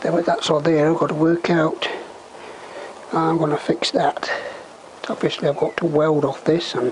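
A man is speaking. Background noise is clearly audible. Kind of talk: tutorial. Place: workshop. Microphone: camera far.

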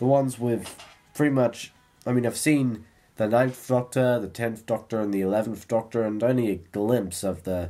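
Faint background music plays behind a man's speech. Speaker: vlogger. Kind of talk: casual vlog chat. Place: home room. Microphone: webcam.

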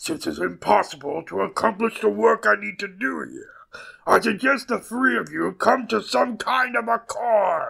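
A man's raised, projected voice, high in pitch. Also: moderate pace. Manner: commanding, imperious.

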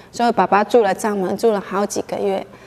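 This woman's voice sits at a fairly high pitch. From Taiwan, Nantou; Taiwan. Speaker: ink painter. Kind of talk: news interview soundbite. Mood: warm, reflective about father. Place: hall.

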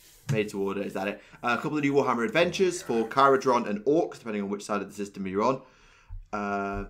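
Talking at a very fast pace, a man with a British accent leaves hardly any pauses. His medium-pitched voice has lively intonation. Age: 20s. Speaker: podcast host. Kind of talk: casual chat. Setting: video call.

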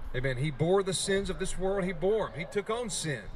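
Over light background noise, a man with a high pitch speaks at a fairly quick pace with lively intonation. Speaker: street preacher. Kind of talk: street preaching sermon. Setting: outdoors on a college campus. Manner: fervent, emphatic. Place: street. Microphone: handheld.

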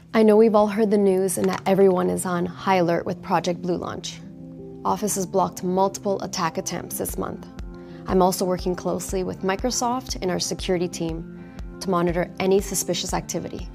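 Clear music sounds behind the speaker. A woman talks at a fairly quick pace. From Canada. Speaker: actress. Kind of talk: TV commercial read. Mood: calm, reassuring. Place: meeting room.

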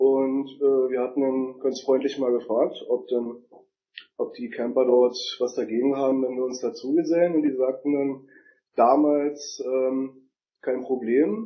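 A man talks in a normal speaking voice at medium pitch. His pace is fairly slow, with fairly even intonation. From Berlin.

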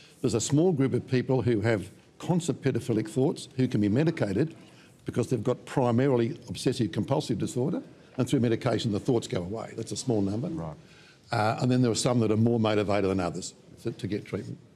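Very fast and lively in intonation, a man speaks with an Australian accent and a dark, mellow tone. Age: 70s. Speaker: psychologist and minister. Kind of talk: panel interview. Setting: studio. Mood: calm, serious explanatory. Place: studio.

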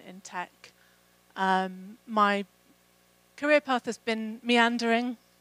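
A woman with a southern English accent, fairly high in pitch with ordinary pitch variation, at a very slow pace in a dry sound with no echo. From England. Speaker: program manager. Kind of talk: conference talk. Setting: stage with audience. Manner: hesitant with fillers. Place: hall. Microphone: handheld.

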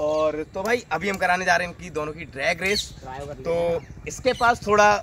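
A man uses a raised, projected voice with ordinary pitch variation in a dry recording with no echo and light background noise. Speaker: motorcycle vlogger. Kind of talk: casual vlog chat. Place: street. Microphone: phone near.

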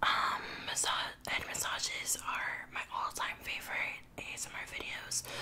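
A woman whispers at a fairly slow pace. She leaves hardly any pauses. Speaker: ASMR creator. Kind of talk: casual talk to camera. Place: home room.

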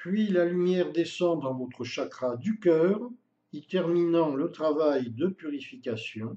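A man's fairly high-pitched voice, dark, mellow and gentle in tone, with lively intonation at a very slow pace. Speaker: meditation guide. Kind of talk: guided meditation. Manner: slow, calm, soothing, with long pauses between phrases; gentle, even and hypnotic, repeating the same phrases.

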